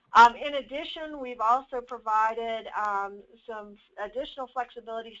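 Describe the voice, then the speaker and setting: The speaker keeps a moderate pace and a fairly even intonation. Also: woman. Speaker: government presenter. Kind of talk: webinar presentation. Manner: halting.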